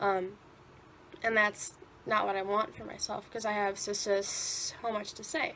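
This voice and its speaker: Over noticeable background noise, a woman at a medium pitch speaks fairly slowly in a flat monotone, with long, frequent pauses and big swings in loudness. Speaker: vlogger who stutters. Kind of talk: personal video commentary.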